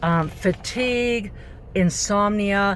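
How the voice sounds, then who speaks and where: A woman speaks at a medium pitch. There is noticeable background noise. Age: 60s. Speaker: vlogger and retired nurse. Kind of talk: personal vlog talk. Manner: hesitant, many fillers.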